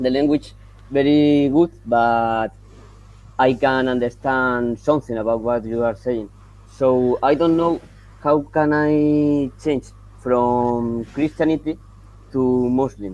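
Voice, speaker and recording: Someone with a Spanish accent speaks at a very slow pace, with long, frequent pauses. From Colombia. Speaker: caller wanting to convert. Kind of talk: casual live-stream conversation. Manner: halting.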